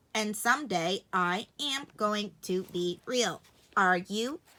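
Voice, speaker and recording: A woman uses a put-on character voice at medium pitch. Her pace is very slow. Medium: read story.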